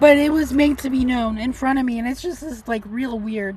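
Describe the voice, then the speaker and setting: Her pitch is high and her intonation lively. The woman keeps a moderate pace. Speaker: vlogger living in a car. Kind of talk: casual rant vlog. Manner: soft-spoken, not loud; rambling with filler words.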